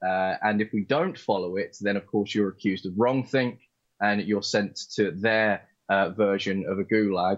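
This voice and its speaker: A man with an English accent, at a moderate pace and with fairly even intonation. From England. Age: young. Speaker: co-host. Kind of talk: live stream political chat. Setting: video call.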